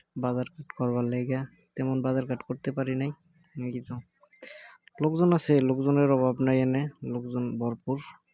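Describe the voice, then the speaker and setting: A man with a central Bangladeshi accent speaks at a medium pitch. His intonation is monotone and flat. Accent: Tangail regional dialect. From Bangladesh, Tangail. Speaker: migrant worker vlogger. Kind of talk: casual vlog.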